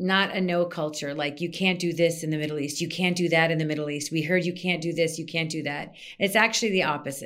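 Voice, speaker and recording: In a room with audible echo, a woman with an American accent speaks very fast in a fairly low voice, with fairly even intonation and hardly any pauses. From US Midwest, Minnesota. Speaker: PR consultant. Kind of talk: interview.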